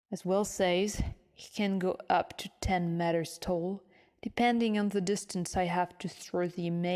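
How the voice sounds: Fairly even intonation in a natural reading voice.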